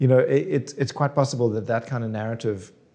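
A man with a South African accent, medium pitch and ordinary pitch variation, against a quiet background. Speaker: screenwriter and author. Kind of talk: interview.

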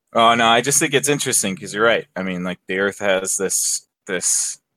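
A man's plain, everyday voice, fairly low in pitch, with ordinary pitch variation and a dry, close sound free of echo. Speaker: friend, co-guest. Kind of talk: casual chat. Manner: joking, playful.

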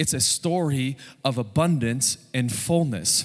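A man speaks with ordinary pitch variation. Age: 40s. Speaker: pastor. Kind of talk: Sunday sermon, conversational pulpit preaching with call-and-response amens. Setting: church service with congregation. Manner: animated, warm and informal, with frequent fillers and repeated words; builds rhetorical momentum through lists, punchy emphatic declarations.

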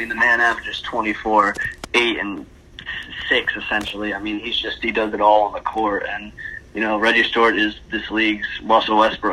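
Over noticeable background noise, a man speaks at a fairly quick pace and medium pitch in a monotone, flat intonation. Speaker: basketball podcast co-host. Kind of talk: casual sports podcast discussion.

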